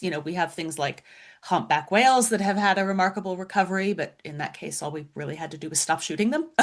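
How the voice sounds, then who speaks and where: The speaker is a woman with an unremarkable speaking voice. Her pitch is medium and her pace fairly quick. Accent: American. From US, Florida. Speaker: science writer and author. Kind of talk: interview.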